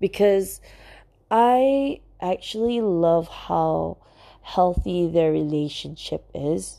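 Very slow speech from a woman, quiet background behind her. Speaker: podcast host. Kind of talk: casual chat. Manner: jumbled, rambling delivery.

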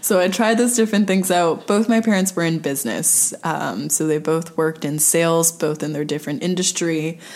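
A woman with a Montreal accent at a fairly quick pace, fairly low in pitch, with ordinary pitch variation, hardly any pauses, and noticeable background noise. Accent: Montreal anglophone Canadian English. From Montreal, Quebec. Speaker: movement specialist. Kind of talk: casual chat.

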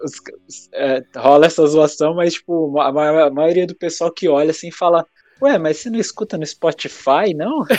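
Over music in the background, a man speaks at a moderate pace with ordinary pitch variation and big swings in loudness, the sound dry and close with no echo. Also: fairly high pitch for a man. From interior of São Paulo, Brazil. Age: 30s. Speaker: music page creator and podcaster. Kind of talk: casual chat interview.

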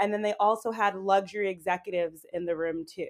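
Here is a normal speaking voice from a woman with an American accent, medium in pitch with ordinary variation. She talks at a moderate pace in a very clean recording with a silent background. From Boston, Massachusetts, US. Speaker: YouTuber living abroad. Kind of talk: casual interview chat.

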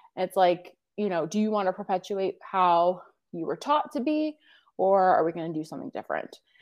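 At a moderate pace, a woman with a medium-pitched voice speaks with lively intonation in an unremarkable speaking voice. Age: 30s. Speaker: coach. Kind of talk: interview.

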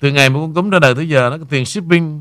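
This man talks at a fairly quick pace in a fairly high voice. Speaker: radio host. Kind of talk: casual chat.

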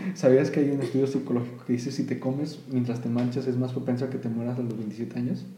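In a Mexican accent, a man at medium pitch talks very fast with hardly any pauses and flat, monotone intonation, with audible room echo and noticeable background noise. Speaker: podcast host. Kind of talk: casual chat.

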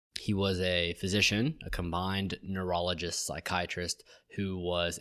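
A man with an American accent, very deep and low in pitch, bright and sharp in tone, fairly even in intonation and fairly slow in pace, on a very clean recording with a silent background. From US South, Georgia (Atlanta area). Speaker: podcast co-host, medical student. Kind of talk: casual chat.

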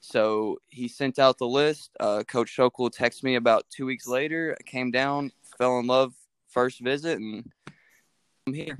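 On a very clean recording with a silent background and a dry, close sound with no echo, a man with an American accent speaks at a medium pitch with fairly even intonation. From Kentucky, Mount Washington near Louisville. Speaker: college baseball player. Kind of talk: interview.

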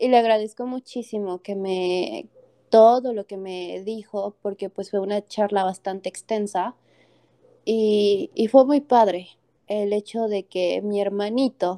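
A woman with a dark, mellow tone and medium pitch speaks fairly slowly with big swings in loudness, in a dry, close sound with no echo. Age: 20s. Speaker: podcast guest. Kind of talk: interview.

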